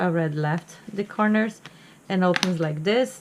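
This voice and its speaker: A woman speaks at a fairly low pitch with ordinary pitch variation. Noticeable background noise can be heard. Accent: Portuguese. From Brazil. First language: Portuguese. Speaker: crafting hobbyist. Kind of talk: tutorial. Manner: halting.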